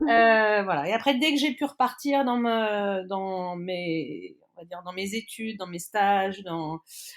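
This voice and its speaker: A woman speaks very slowly at a medium pitch with hardly any pauses, her loudness swinging widely. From grew up abroad in expat family (Africa, Egypt, Turkey), then France. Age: 40s. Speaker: traveller. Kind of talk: interview. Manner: hesitant, many fillers.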